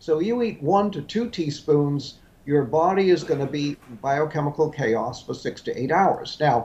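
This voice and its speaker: Lively intonation marks a somewhat breathy delivery that proceeds at a moderate pace. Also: man, fairly high pitch for a man. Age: 70s. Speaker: health author and supplement maker. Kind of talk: interview.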